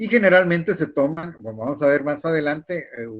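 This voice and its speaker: The man talks at a moderate pace. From Guatemala. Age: 60s. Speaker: university lecturer. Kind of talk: lecture. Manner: halting, with frequent repetitions and fillers.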